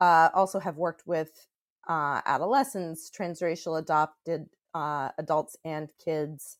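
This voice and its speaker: A woman with a fairly low pitch and ordinary pitch variation speaks at a fairly slow pace in a dry, close sound with no echo, on a very clean recording with a silent background. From New York City. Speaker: author and psychotherapist. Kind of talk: interview. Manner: halting.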